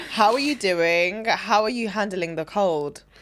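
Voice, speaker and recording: A woman speaks with a London accent at a medium pitch, her intonation lively. Noticeable background noise runs behind her. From London, England. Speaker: podcast host. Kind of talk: podcast host talk.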